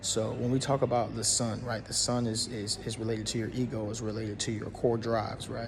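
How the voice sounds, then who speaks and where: A man with a medium-pitched voice talks at a fairly quick pace in a flat monotone, with hardly any pauses and audible room echo. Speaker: astrology content creator. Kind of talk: casual explainer monologue. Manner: fast; halting, many fillers and restarts.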